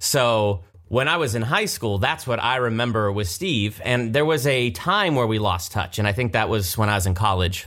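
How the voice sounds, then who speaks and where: An unremarkable speaking voice from a man at medium pitch, with ordinary pitch variation and a fairly quick pace, on a very clean recording with a silent background. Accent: American. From Ohio, Columbus area. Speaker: behind-the-scenes video host, actor. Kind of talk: casual chat. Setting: studio.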